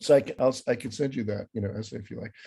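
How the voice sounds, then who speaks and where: A somewhat breathy man with an American accent. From grew up abroad, outside the US. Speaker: philosophy professor. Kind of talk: interview. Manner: halting, many fillers and restarts.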